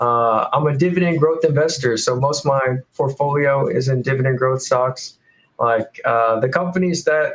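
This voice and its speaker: The voice is somewhat breathy, with ordinary pitch variation. Its loudness stays very even. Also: man, fairly high pitch for a man, moderate pace. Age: 20s. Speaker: college student and dividend investor. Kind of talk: casual chat.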